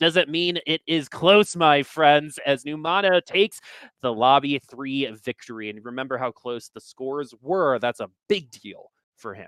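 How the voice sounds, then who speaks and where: An ordinary speaking voice from a man, fairly high in pitch and at a fairly slow pace, with big swings in loudness and a dry, close sound with no echo. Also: lively intonation. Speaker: esports caster. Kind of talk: live commentary.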